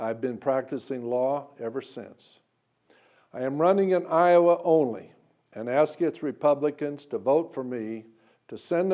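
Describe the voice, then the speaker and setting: A man with an American accent speaks at a fairly slow pace in a fairly high pitch, his tone dark and mellow, with ordinary pitch variation over a quiet background. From US Midwest, western Kansas. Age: 70s. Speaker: lawyer and presidential candidate. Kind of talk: political campaign speech. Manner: formal.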